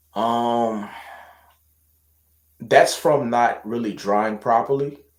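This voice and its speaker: Music plays in the background as a man speaks at a very slow pace with fairly even intonation. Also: medium pitch for a man. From Louisiana. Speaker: hair and loc care vlogger. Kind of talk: casual livestream chat reading viewer questions. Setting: live stream at home. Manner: casual, hesitant with fillers and repetitions.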